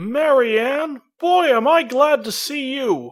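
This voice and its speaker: A high-pitched put-on character voice speaks at a very slow pace. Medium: fan dub. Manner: confused, earnest.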